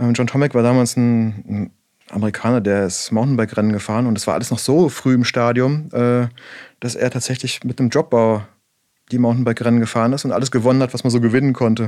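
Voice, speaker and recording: A man speaks very fast at a medium pitch, with a dark, mellow tone and fairly even intonation. The recording is very clean, with a silent background. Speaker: bike brand co-founder. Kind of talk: casual interview.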